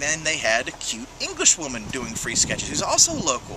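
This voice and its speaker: Noticeable background noise runs behind this recording. A man with a fairly high pitch talks at a very fast pace. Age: 40s. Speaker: comic fan vlogger. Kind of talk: casual chat.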